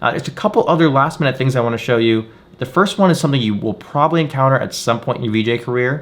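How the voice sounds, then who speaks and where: Speaking at a very fast pace, this man has a medium pitch. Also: ordinary pitch variation. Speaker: VJ tutorial creator. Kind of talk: tutorial. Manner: casual, filler-heavy.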